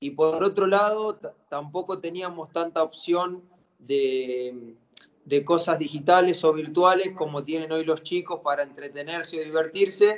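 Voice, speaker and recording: Speaking fairly slowly, a man uses a fairly high pitch. His pitch varies in an ordinary way. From Argentina, Campana (Buenos Aires province). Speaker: professional footballer. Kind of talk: interview. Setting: phone or video call. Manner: halting, repeats words.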